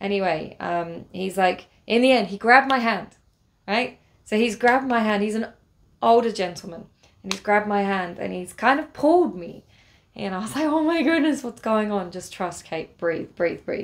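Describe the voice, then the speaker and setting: Over a very clean recording with a silent background, a woman with an English accent talks at a moderate pace with lively intonation. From England. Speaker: travel vlogger. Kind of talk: casual storytelling vlog. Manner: hesitant, many fillers.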